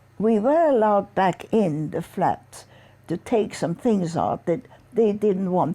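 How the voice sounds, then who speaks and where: A woman with a dark, mellow tone speaks at medium pitch and a fairly slow pace with lively intonation, in a very clean recording with a silent background. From Vienna, Austria. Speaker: Holocaust survivor. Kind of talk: interview answer.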